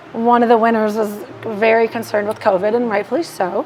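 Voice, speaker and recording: Over noticeable background noise, a woman talks at a fairly quick pace in a fairly high voice with monotone, flat intonation. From Milwaukee, Wisconsin. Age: young. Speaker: social media marketing business owner. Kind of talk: casual chat. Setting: bar. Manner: fast.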